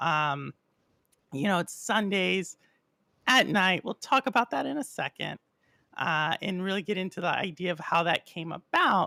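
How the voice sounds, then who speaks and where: A woman with an American accent talks at a moderate pace in a fairly low pitch with ordinary pitch variation, a bright, sharp tone and vocal fry, leaving long, frequent pauses. The sound is dry and close with no echo, on a very clean recording with a silent background. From Texas. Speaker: gaming podcast host. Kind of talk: podcast interview. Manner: animated.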